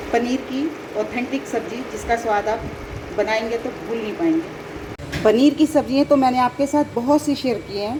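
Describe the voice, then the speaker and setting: Noticeable background noise sits behind a woman's high-pitched voice, which has ordinary pitch variation. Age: 60s. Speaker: cooking channel host. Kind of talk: cooking tutorial. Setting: home kitchen. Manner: conversational, chatty.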